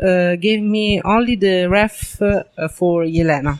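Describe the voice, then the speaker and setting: The speaker has an Italian accent and talks at a very slow pace. Music plays in the background. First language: Italian (speaking French). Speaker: comic book artist. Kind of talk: interview. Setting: comics convention. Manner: halting, many fillers.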